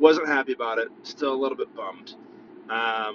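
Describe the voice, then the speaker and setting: A man at a medium pitch, moderate pace and ordinary pitch variation, with noticeable background noise. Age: 30s. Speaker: podcast host. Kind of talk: solo opinion monologue. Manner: casual, filler-heavy.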